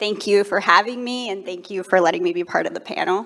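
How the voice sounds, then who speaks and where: Fairly quick speech from a woman, noticeable background noise behind it. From Ecuador. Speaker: NASA professional. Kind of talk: panel discussion.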